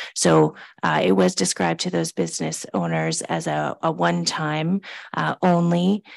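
A woman with a Canadian accent, speaking at a fairly slow pace. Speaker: municipal staff administrator. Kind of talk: council meeting report. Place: meeting room. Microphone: podium.

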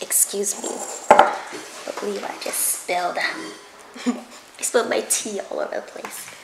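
Amid loud background noise, a woman speaks at a very slow pace. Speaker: food vlogger. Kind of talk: casual vlog chat while eating. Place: kitchen. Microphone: camera far.

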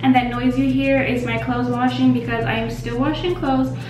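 A woman speaks at a moderate pace, with audible room echo and clear music in the background. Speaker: vlogger. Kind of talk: casual vlog chat. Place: bathroom. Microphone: phone near.

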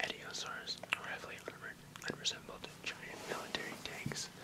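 Over loud background noise, a man is whispering. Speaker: reader. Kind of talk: reading an encyclopedic text aloud. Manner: intimate whisper right beside the mic. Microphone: webcam.

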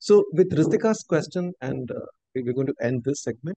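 A man with an Indian accent speaks at a moderate pace in a dark, mellow voice with lively intonation, dry with no echo against a quiet background. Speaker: university outreach coordinator and workshop host; workshop host. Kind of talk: webinar welcome and moderation. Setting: video call. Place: home room. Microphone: video call.

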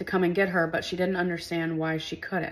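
A woman is speaking. Her pitch is fairly low. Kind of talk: commentary. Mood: serious, upset. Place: home room.

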